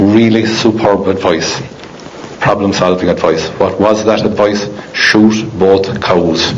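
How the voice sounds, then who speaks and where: A man with an Irish accent speaks at a very slow pace in a monotone, flat intonation with very even loudness, amid noticeable background noise and audible room echo. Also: fairly low pitch for a man. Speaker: agricultural speaker. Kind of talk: conference presentation. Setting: stage with audience. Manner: halting, many fillers.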